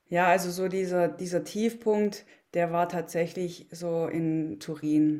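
Her fairly low voice has a dark, mellow tone and a monotone, flat intonation, captured in a very clean recording with a silent background. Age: 40s. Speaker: former biathlete and mental coach. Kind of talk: interview.

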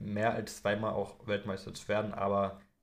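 At a fairly slow pace, a man with a fairly low voice speaks amid audible room echo. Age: 20s. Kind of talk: casual chat.

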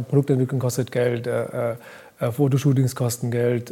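Over noticeable background noise, a man with a medium-pitched voice talks fairly quickly in a monotone, flat delivery. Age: 30s. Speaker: fashion brand founder. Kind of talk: casual chat. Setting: live event recording.

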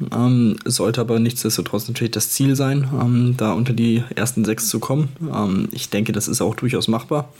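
Amid noticeable background noise, a man at a medium pitch talks at a moderate pace with fairly even intonation and hardly any pauses. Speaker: handball co-host analyst. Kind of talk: casual sports discussion.

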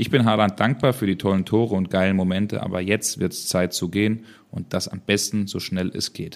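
An ordinary speaking voice from a man, fairly low in pitch and fairly quick, with fairly even intonation in a very clean recording with a silent background. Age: young. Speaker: football podcast co-host and reporter. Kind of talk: casual chat.

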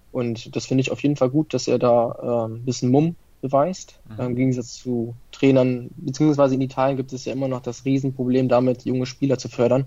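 At a fairly quick pace, a man speaks in a dark, mellow tone with a medium pitch and monotone, flat intonation. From Italian family in Germany. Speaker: football fan page operator. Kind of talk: casual chat.

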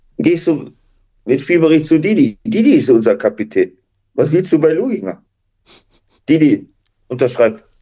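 A man with a fairly high pitch and a dark, mellow tone talks at a moderate pace, his pitch swinging very widely, his loudness very even, with long, frequent pauses. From Duisburg, Ruhr area, Germany. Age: 60s. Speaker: retired footballer and coach. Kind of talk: interview.

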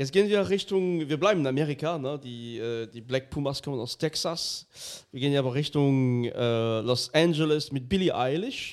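A man with a plain, everyday voice speaks at a moderate pace. His pitch is fairly high, with ordinary pitch variation. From France. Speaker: podcast host. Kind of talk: casual chat.

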